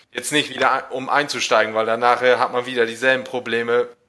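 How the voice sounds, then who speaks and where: A man speaks at medium pitch and a moderate pace, his intonation monotone and flat. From northern Germany, East Frisia. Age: 20s. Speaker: listener guest, gaming fan. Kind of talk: casual chat.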